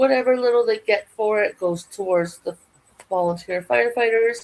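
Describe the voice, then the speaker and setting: A woman with a Canadian accent uses an ordinary speaking voice at a moderate pace, with ordinary pitch variation. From Canada. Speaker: yarn crafting YouTuber. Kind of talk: casual vlog chat. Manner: chatty, rambling with false starts.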